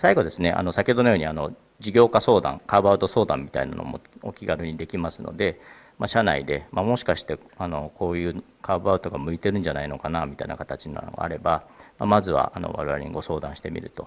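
A man speaks very fast in a very deep, low voice. His loudness swings widely while his pitch varies an ordinary amount. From Japan. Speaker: venture capital partner; presenter. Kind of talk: presentation. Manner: halting with many fillers; formal. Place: hall.

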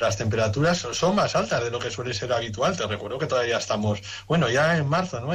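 A man's speech rushes along very fast while his pitch varies in an ordinary way. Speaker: guest. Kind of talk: radio interview answer.

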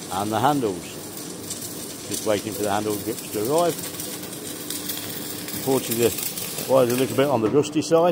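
A man talks fairly quickly as noticeable background noise carries on behind him. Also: ordinary pitch variation. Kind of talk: equipment demo commentary. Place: workshop. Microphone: phone near.

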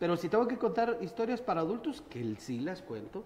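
With a Guatemalan accent, a man speaks in very wide pitch swings. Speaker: storyteller. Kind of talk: interview answer. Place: studio. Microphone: camera far.

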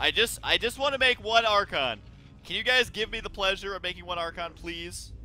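A man's bright, sharp voice at a moderate pace. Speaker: gaming video commentator. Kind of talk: let's play gameplay commentary. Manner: energetic, excited.

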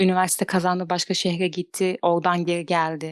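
A woman speaks at a fairly low pitch with a dry, close sound and no echo. The recording is very clean, the background silent. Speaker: caller sharing a personal story. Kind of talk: personal confession. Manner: fast.

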